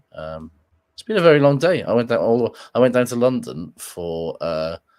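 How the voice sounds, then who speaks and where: Over a very clean, silent background, a man speaks at a moderate pace with lively intonation. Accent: British. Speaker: rugby podcast host. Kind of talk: casual chat. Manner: hesitant, filler-heavy.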